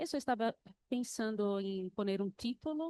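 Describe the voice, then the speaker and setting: Dry and close with no echo, a woman's medium-pitched voice has a dark, mellow tone and moves at a fairly slow pace. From Brazil, Recife. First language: Portuguese (speaking Spanish). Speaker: university researcher. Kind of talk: conference presentation. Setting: conference panel with audience. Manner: halting, non-fluent Spanish.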